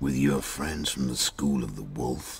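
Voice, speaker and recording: A man puts on a character voice, pitched very deep and low, speaking in a flat monotone at a moderate pace. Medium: video game. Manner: terse, dry.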